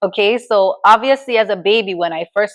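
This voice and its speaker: With an American accent, a woman has an unremarkable speaking voice at medium pitch, moderate pace and ordinary pitch variation. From New York, Grenadian household. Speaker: talk show host. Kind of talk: personal storytelling monologue. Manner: casual, conversational.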